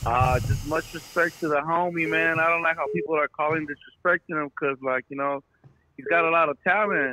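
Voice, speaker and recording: A man speaks in a plain, everyday voice with an American accent, fairly high in pitch and fairly even in intonation. He talks at a fairly quick pace, and the sound is dry and close with no echo. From Los Angeles, Frogtown area. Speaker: caller. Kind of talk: casual chat.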